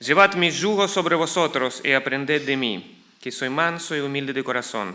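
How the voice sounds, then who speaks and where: At a moderate pace, a man with an Argentine accent talks in a bright, sharp voice with ordinary pitch variation. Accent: Latin American (Argentine) Spanish. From Ukraine, then Argentina from childhood/youth. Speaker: pastor. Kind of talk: sermon. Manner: halting, with fillers.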